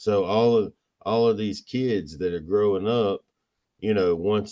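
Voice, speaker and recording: A man in an American accent, fairly low in pitch with a dark, mellow tone, at a moderate pace, in a dry, close sound with no echo against a quiet background. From Pennsylvania, US. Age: 40s. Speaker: filmmaker. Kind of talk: casual chat. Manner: animated.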